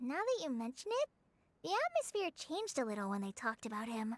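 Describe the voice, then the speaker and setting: Putting on a character voice, a woman talks at a high pitch and very fast pace, captured with a dry, close sound and no echo. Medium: video game. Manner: earnest, slightly shy.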